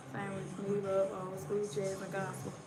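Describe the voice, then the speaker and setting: There is noticeable background noise. A woman with a Southern US accent talks at a moderate pace. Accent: country, US South. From West Tennessee. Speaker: live streamer. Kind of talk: casual chat. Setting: livestream.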